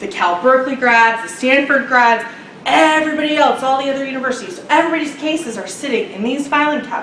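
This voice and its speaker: A woman's high voice races at a very fast pace with lively intonation and big swings in loudness, with audible room echo and noticeable background noise. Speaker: international student advisor. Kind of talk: workshop presentation.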